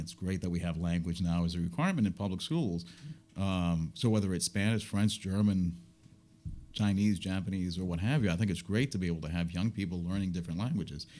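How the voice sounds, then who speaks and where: With a very deep, low pitch and a dark, mellow tone, this man talks at a fairly quick pace in fairly even intonation. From US, Puerto Rican family. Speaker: business owner and media commentator. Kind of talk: interview conversation.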